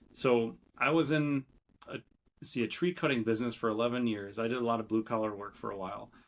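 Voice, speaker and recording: A man with a Minnesotan accent talks at a very fast pace. His pitch varies in an ordinary way. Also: medium pitch for a man. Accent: Minnesota. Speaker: entrepreneur. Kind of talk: podcast interview. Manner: casual, hesitant with fillers.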